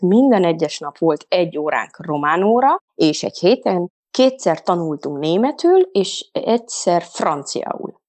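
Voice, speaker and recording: In a dry, close sound with no echo and a quiet background, a woman with a plain, everyday voice speaks at a fairly slow pace in a medium pitch with lively intonation. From Transylvania, Székely Land (Székelyudvarhely). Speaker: mothers' coach. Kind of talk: casual interview.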